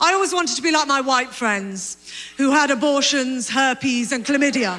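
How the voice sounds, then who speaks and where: A woman projects her high-pitched voice at a moderate pace, her loudness very even and her pitch varying in an ordinary way. Background noise is noticeable. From Britain. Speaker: stand-up comedian. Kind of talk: stand-up comedy set to an audience.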